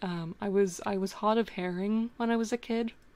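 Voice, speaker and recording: On a very clean recording with a silent background, a woman speaks at medium pitch with fairly even intonation. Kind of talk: casual conversation. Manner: very crisp, clear enunciation.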